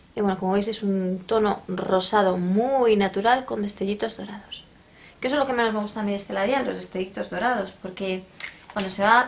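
With a Spanish accent, a woman speaks fairly quickly at a medium pitch, keeping her intonation fairly even. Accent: Peninsular Spanish. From Spain. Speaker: beauty YouTuber. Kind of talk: product review vlog. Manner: casual, hesitant. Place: home room. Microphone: phone near.

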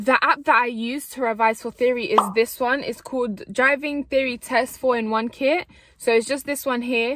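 A woman's high-pitched voice, with hardly any pauses, in a dry sound with no echo. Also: ordinary pitch variation, moderate pace. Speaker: vlogger. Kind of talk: casual vlog chat. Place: car. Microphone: phone near.

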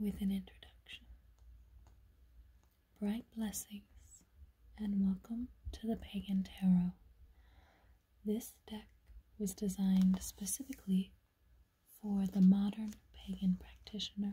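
Soft-spoken and whispering, the speaker keeps a calm tone with long, frequent pauses. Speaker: tarot deck reviewer. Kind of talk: casual unboxing narration, reading aloud. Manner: soft ASMR whisper, slow and calm. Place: home room. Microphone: phone near.

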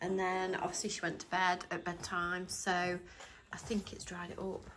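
A woman with an English accent speaks at a medium pitch and a moderate pace. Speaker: lifestyle vlogger. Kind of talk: casual vlog talk to camera.

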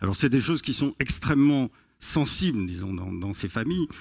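Against a quiet background, the man keeps to a moderate pace. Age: 50s. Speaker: sociology professor. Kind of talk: conference talk. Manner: hesitant with fillers. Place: stage. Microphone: headset.

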